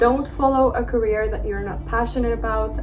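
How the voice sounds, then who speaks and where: A woman speaks at a moderate pace. The recording carries audible room echo and noticeable background noise. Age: 20s. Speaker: lifestyle vlogger. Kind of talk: casual vlog monologue. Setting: outdoors overlooking a city.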